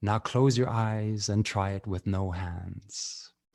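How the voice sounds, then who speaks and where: Speaking very slowly in a South African accent, a man has a fairly low pitch and a dark, mellow tone. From Canada (Medicine Hat, Alberta). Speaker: poet. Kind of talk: poetry performance; casual storytelling. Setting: video call. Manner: rhythmic.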